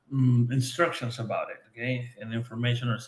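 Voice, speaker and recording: A man talks fairly quickly amid audible room echo. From Venezuela. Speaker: veterinarian. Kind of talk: interview. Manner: halting.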